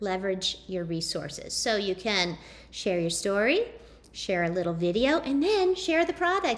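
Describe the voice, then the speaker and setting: Her pitch swings very widely as this woman talks at a moderate pace. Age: 30s. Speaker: network marketing distributor. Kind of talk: presentation.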